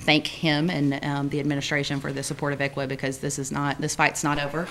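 Over light background noise, a woman with a very deep, low pitch speaks at a fairly quick pace in a monotone, flat intonation. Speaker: attorney giving legal report. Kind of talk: committee report. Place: meeting room. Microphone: podium.

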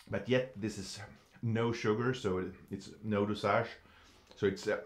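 Audible room echo surrounds a man whose fairly low voice keeps fairly even intonation. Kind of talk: tasting commentary. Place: studio.

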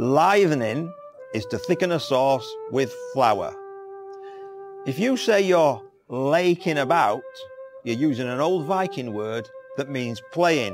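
Clear music plays in the background as a man speaks at a very slow pace with long, frequent pauses. His fairly high voice has lively intonation. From Yorkshire, England. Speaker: library presenter. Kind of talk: educational narration. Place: home room. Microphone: lapel.

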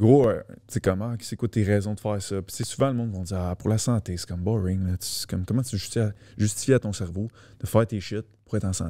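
A man's dark, mellow voice at a fairly low pitch in a Quebec accent, with a fairly quick pace and fairly even intonation, against a quiet background with a dry sound with no echo. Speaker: fitness coach. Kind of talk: casual chat. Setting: studio. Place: studio. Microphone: studio mic.

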